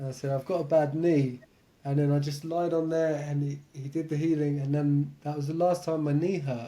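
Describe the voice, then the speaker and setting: Monotone, flat intonation marks this man's delivery, in an English accent at a moderate pace. His pitch is fairly high and his tone dark and mellow. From England. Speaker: meditation and lucid dreaming teacher. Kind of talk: podcast interview.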